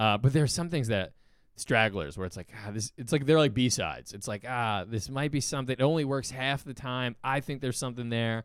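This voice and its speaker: A plain, everyday voice from a man at medium pitch, with ordinary pitch variation and a fairly quick pace, on a very clean recording with a silent background. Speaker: stand-up comedian. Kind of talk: casual chat.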